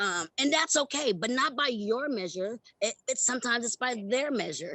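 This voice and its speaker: In an American accent, a woman speaks at a high pitch and a moderate pace, her intonation lively. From US West Coast. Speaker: former theme park performer, youth leadership coach. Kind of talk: interview testimony.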